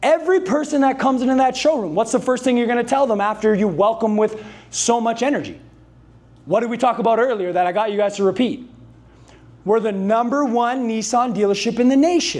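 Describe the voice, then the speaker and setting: Loud delivery comes at a fairly quick pace with ordinary pitch variation. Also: man, extremely high pitch for a man. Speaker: sales coach. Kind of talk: motivational talk to a live audience. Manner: high-energy.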